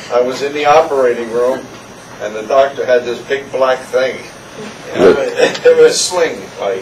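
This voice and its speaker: Over noticeable background noise, a man talks at a fairly quick pace in a fairly high voice with fairly even intonation. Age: 70s. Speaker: knee replacement patient. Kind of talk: patient testimonial interview answer. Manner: casual, rambling.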